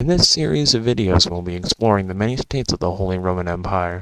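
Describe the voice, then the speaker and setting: A man's very deep, low voice at a fairly quick pace, with ordinary pitch variation and a dry, close sound free of echo. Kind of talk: history explainer narration. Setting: home recording, poor audio. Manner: pauses at times.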